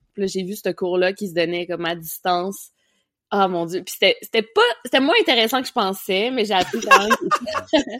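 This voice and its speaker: In a very clean recording with a silent background, a woman speaks at a fairly slow pace and medium pitch, with ordinary pitch variation and a Quebec accent. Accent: Québécois French. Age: 20s. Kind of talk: casual chat.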